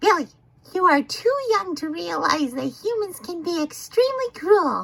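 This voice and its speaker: A put-on character voice sounds female and extremely high-pitched for a woman. It moves at a moderate pace. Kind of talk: funny animal voice-over of a video. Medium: dub.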